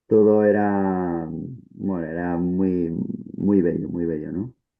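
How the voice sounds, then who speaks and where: A man's very deep, low voice in a flat monotone. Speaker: stage actor. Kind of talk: panel discussion.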